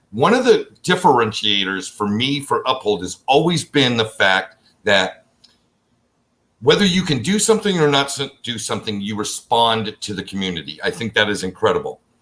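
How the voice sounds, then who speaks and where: With very wide pitch swings, a man speaks in a bright, sharp tone. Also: medium pitch for a man, moderate pace. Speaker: crypto YouTube host. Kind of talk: live stream Q&A interview.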